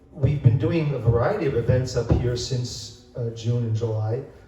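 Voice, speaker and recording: Audible room echo surrounds a man speaking at a moderate pace. His pitch is medium. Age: 70s. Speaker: bookstore owner and event host. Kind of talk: event introduction. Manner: halting, many fillers.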